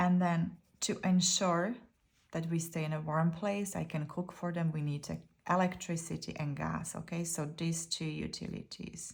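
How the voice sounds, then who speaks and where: Speaking at a moderate pace with a non-native accent, a woman has a fairly low, somewhat breathy voice and flat, monotone intonation. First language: not English. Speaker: YouTuber sharing budgeting tips. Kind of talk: casual tutorial.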